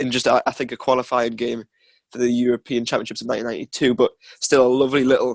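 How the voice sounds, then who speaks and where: A man's very fast, monotone, flat delivery at medium pitch, in a Geordie accent, with a dry, close sound and no echo. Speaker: podcast co-host, student. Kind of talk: casual chat.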